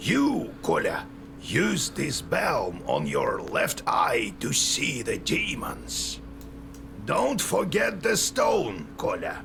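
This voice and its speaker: A man performs a put-on character voice at a very slow pace. Loud background noise runs underneath. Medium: game stream.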